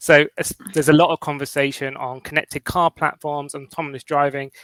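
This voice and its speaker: Speaking with a London accent, a man talks at a fairly quick pace and a fairly high pitch, his intonation fairly even, in a dry, close recording with no echo. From London, England. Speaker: cloud cost consultant. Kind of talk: interview.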